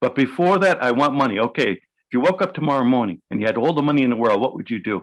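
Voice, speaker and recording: Against a quiet background, a man with a New York accent and a medium pitch talks at a very fast pace with lively intonation. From New York City. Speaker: hypnotherapist. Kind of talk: interview.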